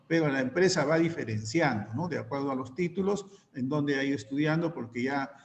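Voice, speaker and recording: Room echo is audible as a fairly high-pitched man talks at a fairly quick pace with ordinary pitch variation. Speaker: teacher. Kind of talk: online class lecture. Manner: fast.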